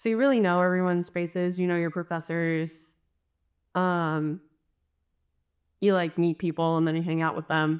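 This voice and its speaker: In a very clean recording with a silent background, a woman speaks at a moderate pace with long, frequent pauses. Her voice is fairly low in pitch, and her intonation is fairly even. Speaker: design student. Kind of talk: interview. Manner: flat tone.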